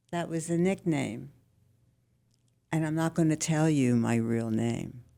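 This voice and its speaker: In a Philadelphia accent, a woman speaks fairly slowly with a very deep, low pitch, a dark, mellow tone and ordinary pitch variation. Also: very clean recording, silent background. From Philadelphia, US. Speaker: senior living resident. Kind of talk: casual interview.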